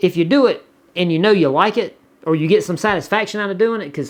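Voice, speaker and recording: A speaker with a Southern US accent talks at a fairly quick pace. The background is quiet. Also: man. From US South. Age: 40s. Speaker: YouTuber. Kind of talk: casual chat. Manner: halting, many repetitions.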